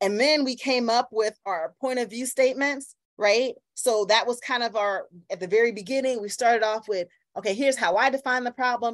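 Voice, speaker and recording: A woman's fairly quick, high-pitched voice over a quiet background. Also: ordinary pitch variation. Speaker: workshop facilitator. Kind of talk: online workshop lecture. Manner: fast when excited; animated, interactive. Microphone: video call.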